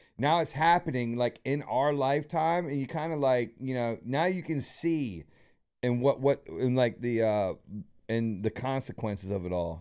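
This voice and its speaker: In a very clean recording with a silent background, a man talks at medium pitch and a moderate pace. His tone is animated and his intonation lively. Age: 40s. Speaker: streamer. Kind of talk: casual chat. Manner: halting.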